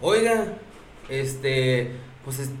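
Fairly high-pitched for a man, this speaker has a Mexican accent and swings his pitch very widely. Room echo is audible, and background noise is noticeable. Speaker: bar owner. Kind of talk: casual chat. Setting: live stream.

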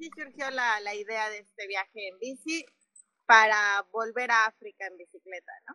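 A woman's ordinary speaking voice, fairly high and fairly slow, with ordinary pitch variation and big swings in loudness. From Mexico City. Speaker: cycling traveler. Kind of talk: interview.

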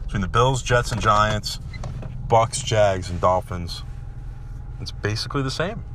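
A man with an American accent and a fairly low pitch, ordinary pitch variation, a fairly slow pace with long, frequent pauses, plus audible room echo and noticeable background noise. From New York area. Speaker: sports podcast host. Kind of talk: casual sports rant. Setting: in a car. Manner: animated.

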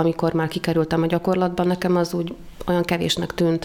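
There is noticeable background noise in the clip. Through it, a woman speaks at a fairly low pitch. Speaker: university dean. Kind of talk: interview.

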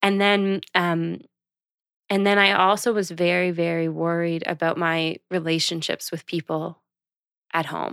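A normal speaking voice at a fairly slow pace with fairly even intonation, on a very clean recording with a silent background and a dry, close sound with no echo. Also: woman, fairly low pitch for a woman. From Canada, Prince Edward Island (Charlottetown). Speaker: podcast co-host. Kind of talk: casual chat.

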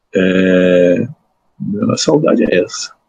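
A man's dark, mellow, somewhat breathy voice, heard dry and close with no echo. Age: 60s. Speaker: law professor and judge. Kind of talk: interview. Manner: halting, many repetitions.

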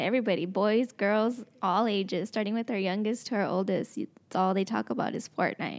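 She is a woman with a normal speaking voice and fairly even intonation. Her moderate pace runs on with hardly any pauses. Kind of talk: radio interview. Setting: radio studio.

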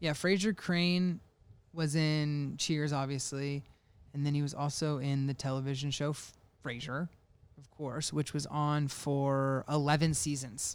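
A man with an unremarkable speaking voice talks at a fairly slow pace. His fairly high pitch holds a fairly even intonation. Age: 20s. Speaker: podcast co-host. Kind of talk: casual chat.

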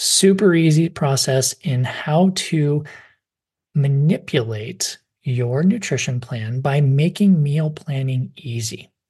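Over a quiet background, the voice comes through somewhat breathy at a very slow pace, with ordinary pitch variation. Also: man, fairly high pitch for a man. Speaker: podcast host and dietitian. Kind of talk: interview.

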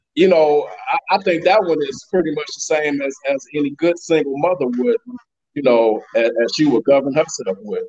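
This man has a normal speaking voice with an American accent. He talks at a moderate pace, fairly high in pitch, with lively intonation. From Chicago. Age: 40s. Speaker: single father. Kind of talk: casual chat.

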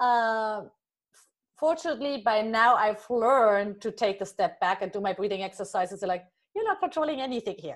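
Over a silent background on a very clean recording, a woman speaks with a German accent. Her pitch is fairly high, her intonation lively and her pace moderate. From Germany. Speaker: life coach. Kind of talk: interview.

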